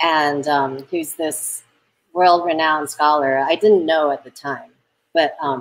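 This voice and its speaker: At a fairly slow pace, a woman with an American accent talks in a very deep, low pitch with fairly even intonation. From Taiwan. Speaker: film director; interview guest. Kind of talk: interview conversation; interview answer. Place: home room. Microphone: video call.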